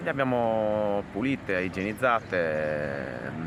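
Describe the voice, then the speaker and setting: Noticeable background noise sits behind a man whose very deep, low voice carries lively intonation. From Sardinia, Orroli. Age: 30s. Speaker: shoemaker. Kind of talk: interview.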